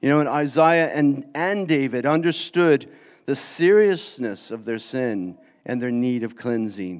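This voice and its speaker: Speaking at a fairly slow pace with an American accent, a man uses a medium pitch and lively intonation. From US, Florida. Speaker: preacher. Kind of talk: sermon. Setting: church.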